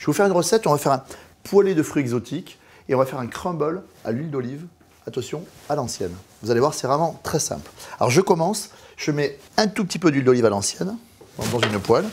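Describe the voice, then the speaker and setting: A man's fairly high, somewhat breathy voice, very fast in pace, with very wide pitch swings and long, frequent pauses, on a very clean recording with a silent background. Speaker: chef. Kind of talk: cooking tutorial. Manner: animated.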